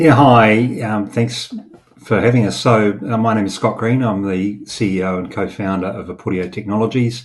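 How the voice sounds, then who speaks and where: A man's fairly low voice carries ordinary pitch variation. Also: moderate pace. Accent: New Zealand. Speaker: startup CEO. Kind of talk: interview.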